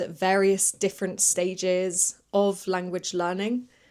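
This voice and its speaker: A woman speaks at a very slow pace with a British accent. The recording is very clean, with a silent background. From UK. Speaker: English teacher and podcast host. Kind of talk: educational podcast monologue. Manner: clear, moderate pace for learners.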